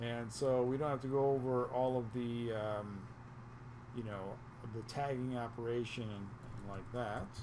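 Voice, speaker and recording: A man speaks fairly slowly at a medium pitch with a dark, mellow tone. His intonation is monotone and flat, and there is noticeable background noise. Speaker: networking instructor. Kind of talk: tutorial. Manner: casual.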